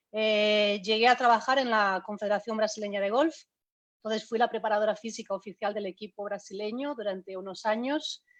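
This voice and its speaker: Here a woman speaks at a fairly quick pace. Her intonation stays fairly even. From Spain. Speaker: golf fitness trainer. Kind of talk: online talk. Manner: hesitant, many fillers.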